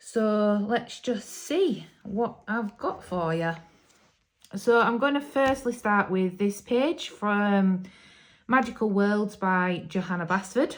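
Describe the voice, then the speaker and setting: In a Yorkshire accent, a woman speaks very slowly at a medium pitch with ordinary pitch variation, on a very clean recording with a silent background. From Yorkshire, England. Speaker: hobby YouTuber, adult colourist. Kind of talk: casual vlog talk to camera. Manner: hesitant, many ums.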